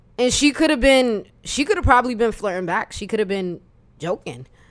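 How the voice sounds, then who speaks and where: A woman with an ordinary speaking voice, fairly high in pitch, at a fairly quick pace. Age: 20s. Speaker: podcast guest. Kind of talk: casual chat.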